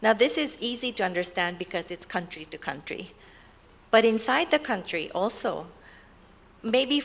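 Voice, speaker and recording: A woman with a Japanese accent speaks at a moderate pace in a fairly high voice, with very wide pitch swings, big swings in loudness and long, frequent pauses. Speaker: NGO representative. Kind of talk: panel discussion.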